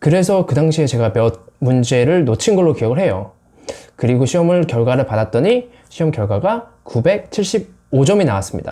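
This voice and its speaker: This man's voice is fairly high in pitch, somewhat breathy and dark and mellow in tone, with very wide pitch swings. He moves at a moderate pace and keeps his loudness very even. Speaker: English-learning YouTuber. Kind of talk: personal vlog monologue.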